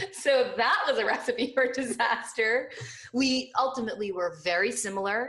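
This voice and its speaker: A woman's fairly high, a normal speaking voice with an American accent, at a fairly slow pace. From New Jersey. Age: 30s. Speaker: lifestyle blogger. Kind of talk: interview.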